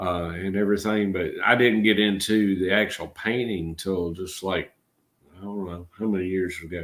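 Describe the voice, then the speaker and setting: This man has a fairly low pitch and a Georgia accent. His intonation is monotone and flat. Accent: Georgia Southern drawl. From Georgia, US South. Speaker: channel host, artist. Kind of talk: casual live-stream chat.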